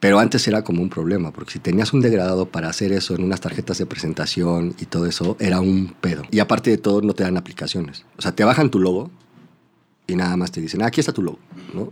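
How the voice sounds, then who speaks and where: Speaking very fast, a man with a Mexico City accent has a very deep, low voice. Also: ordinary pitch variation. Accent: Mexican Spanish (Mexico City). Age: 30s. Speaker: advertising creative. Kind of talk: casual interview chat. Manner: halting, repeats words.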